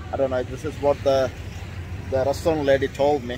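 A man talks with music in the background, the sound dry and free of echo. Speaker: travel vlogger. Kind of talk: casual vlog chat. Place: street. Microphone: phone near.

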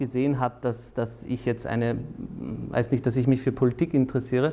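A dark, mellow tone colors this man's voice. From Austria, Salzburg; Austria. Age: 30s. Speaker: lawyer and politician; lawyer, politician. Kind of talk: personal interview monologue. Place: studio. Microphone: lapel.

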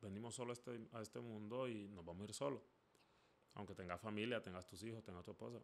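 Speaking very fast, a man keeps a fairly low pitch and fairly even intonation. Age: 30s. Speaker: podcast host. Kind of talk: solo monologue podcast. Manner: halting, many repetitions. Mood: reflective, conversational. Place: home room. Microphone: studio mic.

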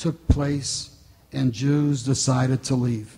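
Very slow speech from a man, fairly high in pitch, with fairly even intonation. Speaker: event organizer and emcee. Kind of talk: formal welcome speech. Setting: stage with audience. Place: hall. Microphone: podium.

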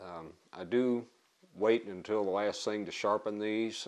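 In a fairly low pitch, a man speaks with monotone, flat intonation. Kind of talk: tutorial. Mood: calm, lightly humorous. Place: home room.

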